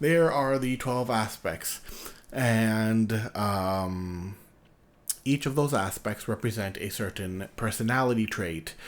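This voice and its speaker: A quiet man at a very slow pace with ordinary pitch variation. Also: medium pitch for a man. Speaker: youtuber discussing personality types. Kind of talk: casual late-night monologue. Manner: quiet, low-energy; halting, many fillers.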